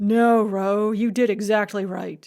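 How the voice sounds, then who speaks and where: A woman's put-on character voice, medium in pitch, at a fairly slow pace with monotone, flat intonation. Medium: read story. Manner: warm, easygoing.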